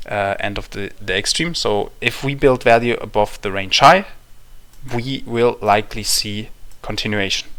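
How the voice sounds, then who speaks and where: A man with a German accent, bright and sharp in tone, at medium pitch with ordinary pitch variation and a moderate pace. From Germany. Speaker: crypto trader sharing market analysis. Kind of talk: market analysis talk. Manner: halting, many fillers and restarts.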